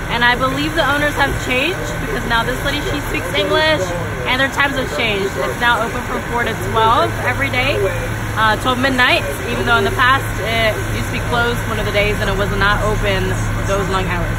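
A fairly quick pace under loud background noise, with a dry sound and no echo. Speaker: food blogger. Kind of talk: casual vlog chat. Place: car. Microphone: phone near.

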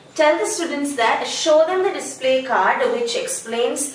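A woman talks at a moderate pace, with audible room echo and light background noise around her. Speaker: teacher trainer. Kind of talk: tutorial. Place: home room. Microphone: camera far.

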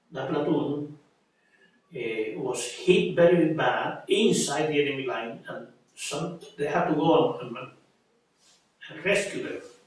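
A man's very slow speech in strong room echo. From Puerto Rico. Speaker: army veteran. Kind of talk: oral history interview answer. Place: home room.

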